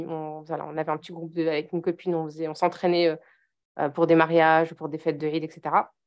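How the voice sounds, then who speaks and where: This woman's voice sits fairly low. She talks at a fairly quick pace. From eastern France, Vosges (Épinal). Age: 30s. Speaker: mother and online parenting coach. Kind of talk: casual interview chat. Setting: podcast recording.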